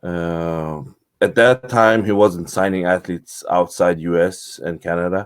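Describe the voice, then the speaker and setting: A man at a moderate pace on a very clean recording with a silent background. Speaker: bodybuilder. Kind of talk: interview. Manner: halting.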